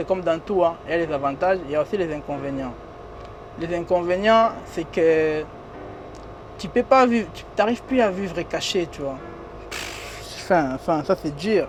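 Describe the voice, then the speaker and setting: Lively intonation and big swings in loudness are broken up by long, frequent pauses, with music playing in the background. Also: man, high pitch for a man, fairly slow pace. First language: not French (speaking French). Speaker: comedian and influencer. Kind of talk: casual interview. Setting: in a limousine. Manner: informal street slang.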